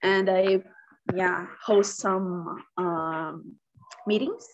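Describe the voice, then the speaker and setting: Using a Portuguese accent, a woman at a medium pitch talks at a very slow pace in a monotone, flat intonation. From Brazil, Minas Gerais. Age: 20s. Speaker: biomedicine student. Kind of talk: casual conversation practice. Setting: video call.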